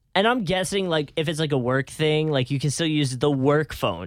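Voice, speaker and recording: At a moderate pace, a plain, everyday voice comes through in a very clean recording with a silent background. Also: man. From northern US. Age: 20s. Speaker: podcast host. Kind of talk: casual chat.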